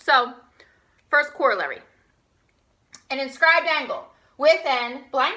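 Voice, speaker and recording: Raising and projecting her voice, a woman with an American accent speaks at a high pitch in a bright, sharp tone. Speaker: high school math teacher. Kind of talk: recorded online lesson. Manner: animated; casual.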